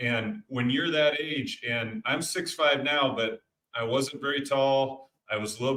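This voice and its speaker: With an American accent, a man speaks at a medium pitch and ordinary pitch variation. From US Midwest, Iowa. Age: 40s. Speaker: dentist and success coach, podcast guest. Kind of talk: personal testimony in interview.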